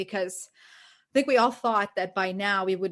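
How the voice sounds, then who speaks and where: A woman with a Portuguese accent speaks at a moderate pace with ordinary pitch variation against a quiet background. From Brazil. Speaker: ESL teacher and podcast co-host. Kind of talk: casual chat.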